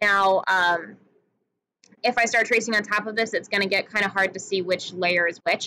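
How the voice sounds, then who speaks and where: A woman speaks at medium pitch with a bright, sharp tone. Her intonation is fairly even. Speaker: art teacher. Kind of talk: tutorial. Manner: fast; hesitant fillers.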